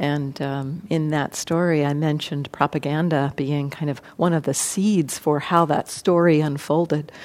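A woman with an American accent speaks at a moderate pace with hardly any pauses, her very deep, low pitch moving with fairly even intonation on a very clean recording with a silent background. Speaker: meditation teacher. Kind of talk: dharma talk then group discussion. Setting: live room with audience. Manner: reflective, measured.

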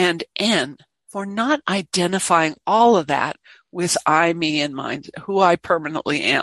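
Speaking in an ordinary speaking voice, a woman keeps a fairly slow pace and fairly low pitch with ordinary pitch variation. The sound is dry and close with no echo, over a quiet background. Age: 60s. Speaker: meditation teacher. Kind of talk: dharma talk. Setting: meditation hall with online audience.

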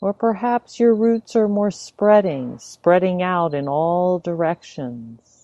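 At a very slow pace yet hardly pausing, a woman speaks in a calm tone at medium pitch, her intonation lively. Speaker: meditation teacher. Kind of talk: guided meditation. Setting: online talk or video. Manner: slow, soft-spoken, calm and unhurried, with long pauses.

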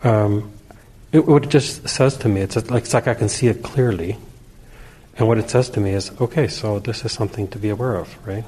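Ordinary pitch movement over noticeable background noise. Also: man, medium pitch for a man, fairly quick pace. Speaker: class participant. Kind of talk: casual sharing.

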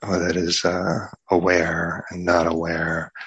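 A man speaks with a very deep, low pitch. His tone is calm and his intonation flat and monotone. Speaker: meditation teacher. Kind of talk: lightly guided meditation with a short talk, gentle and spacious. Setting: meditation hall, recorded talk. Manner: slow, calm, soft-spoken with long silences.

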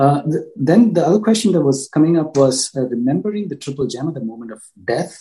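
A man with a dark, mellow tone and fairly high pitch speaks at a fairly quick pace, somewhat breathy, with very wide pitch swings and big swings in loudness. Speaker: session moderator. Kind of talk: Q&A moderation. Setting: video call.

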